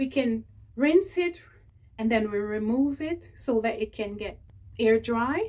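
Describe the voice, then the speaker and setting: A woman speaks at a fairly slow pace and a fairly high pitch, with lively intonation. Long pauses come often. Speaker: beauty vlogger. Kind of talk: unboxing tutorial.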